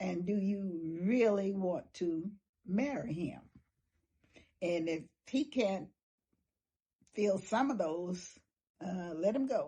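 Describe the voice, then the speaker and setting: A woman at a very slow pace, medium-pitched, somewhat breathy and dark and mellow in tone, with lively intonation and long, frequent pauses. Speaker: elderly woman interviewee. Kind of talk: street interview.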